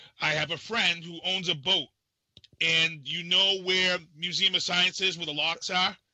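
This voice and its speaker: Speech unfolds at a moderate pace in an American accent. The intonation stays monotone and flat. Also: man, high pitch for a man. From Massachusetts. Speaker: podcast host. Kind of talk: casual chat.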